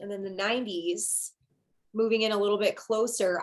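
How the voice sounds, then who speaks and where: Speaking with a Michigan accent, a woman talks at a fairly quick pace in a medium-pitched voice. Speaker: astrologer, live stream host. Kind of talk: casual live stream conversation.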